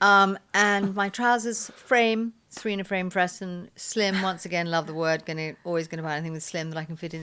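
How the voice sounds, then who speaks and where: Recorded very cleanly over a silent background, a woman speaks fairly quickly at a medium pitch with ordinary variation and a bright, sharp tone. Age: 60s. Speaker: podcast co-host. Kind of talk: casual chat.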